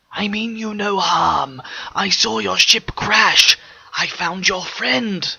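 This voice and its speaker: Whispering in a put-on character voice, a man goes at a very slow pace. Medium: read story. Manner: eloquent, measured.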